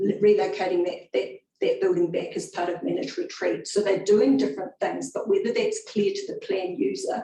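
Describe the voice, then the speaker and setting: With a New Zealand accent, the speaker goes at a fairly quick pace and hardly pauses at all. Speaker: council planner. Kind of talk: public hearing.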